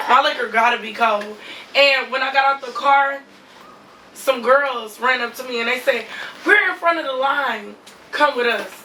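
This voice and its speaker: Through audible room echo and noticeable background noise, a woman's raised, projected voice sits at a high pitch with ordinary pitch variation, big swings in loudness and long, frequent pauses. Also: moderate pace. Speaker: reality TV cast member and lash artist. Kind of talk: interview.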